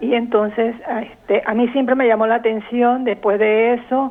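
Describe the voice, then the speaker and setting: Noticeable background noise sits behind a woman who talks at a very slow pace with a fairly high pitch. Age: 70s. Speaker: caller. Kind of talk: testimony.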